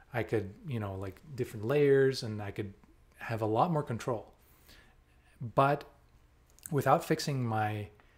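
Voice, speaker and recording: This man's voice is somewhat breathy, at a medium pitch and a moderate pace. The recording is very clean, with a silent background. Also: long, frequent pauses. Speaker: software developer. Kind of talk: casual talk to camera.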